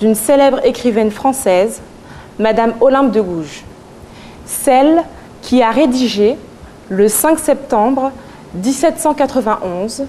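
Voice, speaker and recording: Speaking very slowly, a woman with a high pitch leaves long, frequent pauses. Her pitch varies in an ordinary way, and background noise is noticeable. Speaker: student speaker. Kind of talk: eloquence contest speech. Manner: declamatory.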